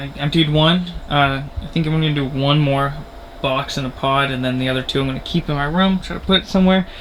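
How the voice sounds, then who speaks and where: Over noticeable background noise, a man talks at a moderate pace. His pitch is fairly high and his intonation fairly even. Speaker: vlogger. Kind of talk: casual vlog. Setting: at home, bedroom. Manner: casual, rambling; quiet, hushed.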